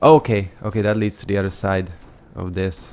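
A man's moderately paced speech, music playing behind. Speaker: gaming let's play creator. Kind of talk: casual gameplay commentary. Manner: laid back.

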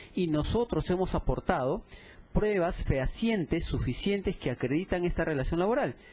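The voice belongs to a man and is somewhat breathy. Its tone is dark and mellow. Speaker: defense lawyer for the employer. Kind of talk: courtroom argument. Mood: formal, assertive. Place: hall.

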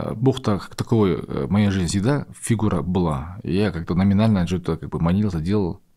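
A man's very deep, low voice, dark and mellow, at a moderate pace with ordinary pitch variation and hardly any pauses, over a quiet background. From Kazakhstan. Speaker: podcast host. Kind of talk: casual interview. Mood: calm, sincere. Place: studio. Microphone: studio mic.

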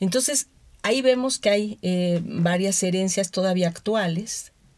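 Here a woman speaks at a fairly slow pace with a fairly low pitch. She has a normal speaking voice. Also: very clean recording, silent background. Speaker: anthropologist. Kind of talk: radio interview.

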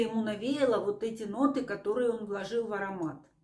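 This woman's voice has a dark, mellow tone. Audible room echo surrounds it. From Ukraine. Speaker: perfume reviewer. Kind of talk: product review, video blog. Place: home room.

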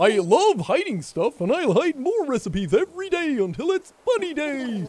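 A man's put-on character voice, extremely high-pitched, cheerful and upbeat, with very wide pitch swings at a moderate pace. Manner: cheerful, upbeat.

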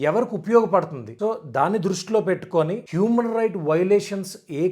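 With ordinary pitch variation, the man's voice sits at a high pitch. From Andhra Pradesh, Araku area. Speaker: YouTuber, documentary maker. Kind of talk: explanatory monologue to camera. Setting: seated indoors.

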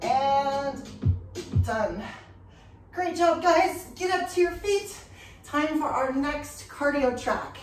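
A high-pitched woman at a very slow pace with ordinary pitch variation, audible room echo and faint music in the background. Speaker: fitness instructor. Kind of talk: workout instruction cues. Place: home room. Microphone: camera far.

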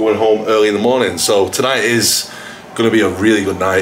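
Over clear music in the background, a man speaks at a fairly quick pace with a fairly low pitch. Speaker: fitness vlogger. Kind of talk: casual vlog chat. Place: home room. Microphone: phone near.

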